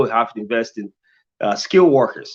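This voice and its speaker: A man speaks with a non-native accent. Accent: foreign. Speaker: mayoral candidate, engineer. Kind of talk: candidate forum answer. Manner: halting, many repetitions.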